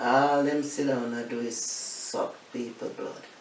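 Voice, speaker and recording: A woman with a Jamaican accent, speaking at a very slow pace over noticeable background noise. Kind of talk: interview answer. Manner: blunt, outspoken, humorous.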